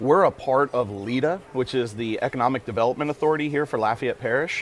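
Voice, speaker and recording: The voice is animated and moves at a very fast pace. Its pitch varies in an ordinary way. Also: man, medium pitch for a man. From Tennessee, Nashville. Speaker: business accelerator staff, entrepreneur. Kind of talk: casual chat.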